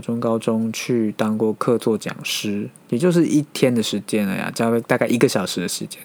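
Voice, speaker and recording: The man speaks at a medium pitch and a fairly slow pace. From Taiwan. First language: Mandarin (Taiwan) (speaking Japanese). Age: 30s. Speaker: podcast host, office worker. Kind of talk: solo podcast monologue. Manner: hesitant, many fillers.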